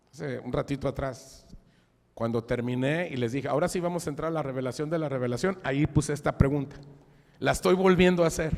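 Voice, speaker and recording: This man's voice sits fairly high. He speaks very quickly. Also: ordinary pitch variation. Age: 60s. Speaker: preacher. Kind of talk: sermon. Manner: casual, conversational.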